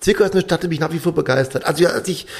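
Speaking at a very fast pace, a man uses a high pitch. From western Germany. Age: 50s. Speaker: theatre director and conductor. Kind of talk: interview.

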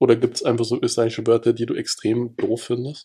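A somewhat breathy, dark and mellow voice at a fairly quick pace. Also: man. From Salzburg, Austria. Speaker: podcast host. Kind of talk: casual chat.

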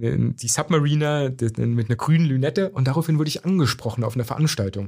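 A man's voice comes across as somewhat breathy. His pitch varies in an ordinary way. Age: young. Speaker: corporate speaker. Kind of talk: interview. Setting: studio.

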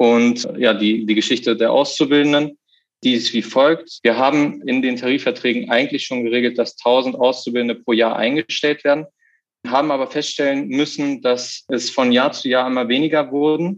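Here a man talks in a plain, everyday voice. His pitch is medium and his intonation fairly even. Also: moderate pace. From Lower Saxony, Germany. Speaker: union negotiating committee member, dual student. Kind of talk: interview.

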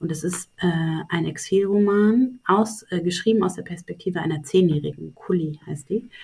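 A woman with a medium pitch and a dark, mellow, somewhat breathy tone talks at a moderate pace with ordinary pitch variation and hardly any pauses. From Saxony-Anhalt, Germany. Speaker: publishing program director and literary critic. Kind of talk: interview conversation. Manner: hesitant with many fillers; long complex sentences.

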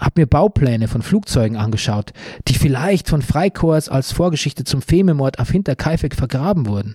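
Lively intonation marks this man's fairly high-pitched, somewhat breathy, dark and mellow voice, heard at a moderate pace in a dry, close sound with no echo. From Bavaria. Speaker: podcast host, author and journalist. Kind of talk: scripted narration.

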